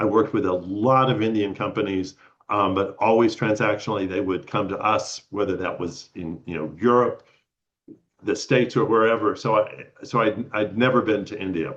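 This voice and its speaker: With an American accent, a man talks at a moderate pace in a fairly low pitch with ordinary pitch variation. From Texas. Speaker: retired lawyer and spiritual traveler. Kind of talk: personal storytelling talk. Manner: halting, many fillers and repeats.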